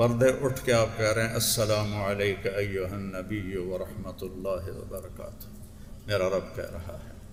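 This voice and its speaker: There is noticeable background noise behind a man with a fairly low voice. He speaks in a flat monotone with big swings in loudness. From Pakistan. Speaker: Islamic scholar and preacher. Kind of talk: religious sermon. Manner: emotional.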